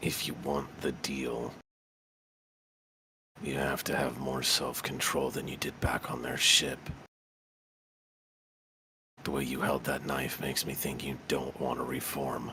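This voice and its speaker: A quiet, raspy put-on character voice, flat and monotone, at a fairly slow pace with long, frequent pauses. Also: man, very deep, low pitch for a man. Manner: hushed, conspiratorial.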